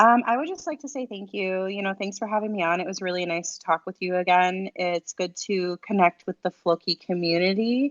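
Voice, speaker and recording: This woman talks at a fairly quick pace with a medium pitch. Her pitch rises and falls in an ordinary way. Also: hardly any pauses, big swings in loudness. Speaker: crypto space host. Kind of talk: live audio chat.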